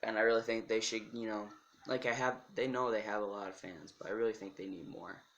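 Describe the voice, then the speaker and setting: A soft-spoken man talks at a medium pitch with fairly even intonation. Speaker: music YouTuber. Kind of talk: casual vlog talk. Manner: halting.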